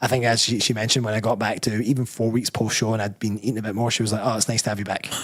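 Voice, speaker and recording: A man with a Scottish accent speaks at a medium pitch, very fast and with hardly any pauses. His intonation is monotone and flat, over noticeable background noise. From Scotland. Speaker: bodybuilder and personal trainer. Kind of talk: live show interview. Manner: mumbling.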